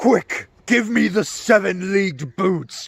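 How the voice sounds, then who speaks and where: A raspy, high-pitched put-on character voice from a man at a fairly slow pace. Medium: short film.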